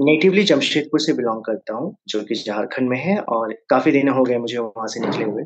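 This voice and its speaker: Lively male speech at a medium pitch and moderate pace, with hardly any pauses. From Jharkhand, India (Jamshedpur). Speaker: career counselor and startup founder. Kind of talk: podcast interview. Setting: virtual studio.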